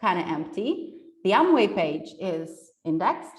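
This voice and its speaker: A woman's medium-pitched voice with very wide pitch swings and audible room echo. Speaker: SEO specialist giving a conference talk. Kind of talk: presentation. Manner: enthusiastic.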